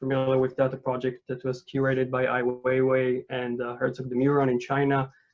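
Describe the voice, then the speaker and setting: With a non-native accent, a man talks at a fairly quick pace and medium pitch. His intonation is monotone and flat. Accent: foreign accent, non-native English. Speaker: architect and urban researcher. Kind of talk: lecture. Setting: video call. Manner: halting, many fillers.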